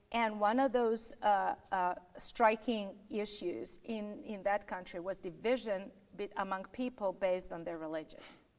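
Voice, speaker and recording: A woman with a non-native accent, medium pitch and fairly slow pace. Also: ordinary pitch variation. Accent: foreign accent, noticeable. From Yugoslavia. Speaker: political candidate and lawyer. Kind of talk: political interview. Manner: firm, insistent.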